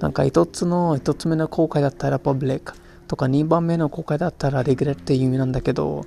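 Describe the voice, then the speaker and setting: Talking at a very fast pace, a man has a dark, mellow tone, fairly high pitch and ordinary pitch variation. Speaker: podcaster, Japanese learner. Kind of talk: casual monologue. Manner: halting.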